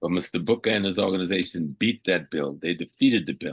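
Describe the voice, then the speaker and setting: The sound is dry and close, with no echo. A man with a very deep, low pitch and ordinary pitch variation talks at a fairly quick pace. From US South, coastal South Carolina. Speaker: historian and Pan-African scholar. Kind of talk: radio interview. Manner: animated.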